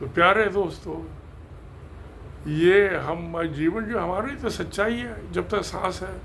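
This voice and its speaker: Over noticeable background noise and audible room echo, a man speaks at a high pitch. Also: ordinary pitch variation. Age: 80s+. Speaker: engineer and video creator. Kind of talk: casual talk to camera. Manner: halting.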